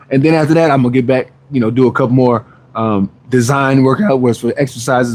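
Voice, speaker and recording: His tone comes across animated. The man talks at a very fast pace. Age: 40s. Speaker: fitness trainer and live streamer. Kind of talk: live stream chat.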